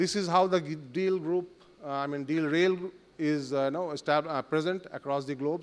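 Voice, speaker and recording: At a fairly slow pace, a man with a Bengali accent talks at a fairly high pitch with ordinary pitch variation. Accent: Indian English, Bengali. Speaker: company country manager. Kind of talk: conference presentation. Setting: summit stage in hotel with audience. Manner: halting, many fillers.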